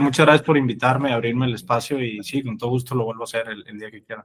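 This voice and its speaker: Fairly quick and fairly even in intonation, a man talks at a medium pitch. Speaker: crypto investor. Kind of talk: podcast interview.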